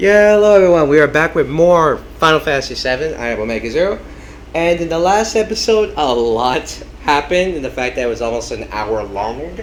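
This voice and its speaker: Loud and at a fairly quick pace, a man's voice makes very wide pitch swings over noticeable background noise. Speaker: gaming video creator. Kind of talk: let's play commentary. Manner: hesitant with fillers.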